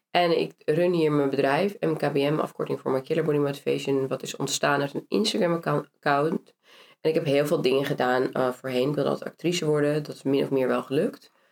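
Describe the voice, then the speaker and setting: This woman has a very deep, low pitch and vocal fry. She talks at a fairly quick pace with fairly even intonation. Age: 30s. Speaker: actress and entrepreneur. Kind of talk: casual interview.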